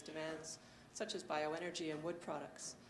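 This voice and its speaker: A soft-spoken woman with a fairly low voice, noticeable background noise and audible room echo. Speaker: forest carbon researcher. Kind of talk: conference presentation. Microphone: handheld mic, held higher after being told too quiet.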